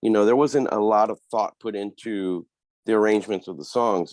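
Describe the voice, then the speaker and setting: In an American accent, a man speaks with a fairly low pitch, ordinary pitch variation and a moderate pace. The sound is dry and close with no echo, over a quiet background. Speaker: metal guitarist. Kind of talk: interview. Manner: casual, hesitant fillers.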